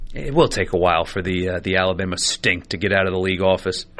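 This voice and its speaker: In a raspy, put-on character voice with a very deep, low pitch, a man speaks at a very fast pace in an angry tone with fairly even intonation. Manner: angry, irritated.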